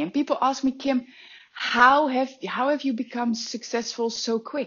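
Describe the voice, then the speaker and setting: A woman speaks in a Dutch accent. Her pace is moderate. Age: 30s. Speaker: life and business coach. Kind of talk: motivational monologue.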